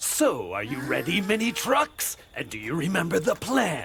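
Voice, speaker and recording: Using a put-on character voice with a theatrical tone, a man speaks at a high pitch and a moderate pace. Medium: fan dub. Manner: hearty, theatrical.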